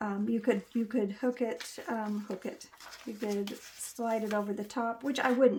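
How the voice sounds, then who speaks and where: At a moderate pace, a woman speaks with a fairly high pitch and monotone, flat intonation. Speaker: crafting YouTuber. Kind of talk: tutorial. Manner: halting, many fillers; casual, chatty.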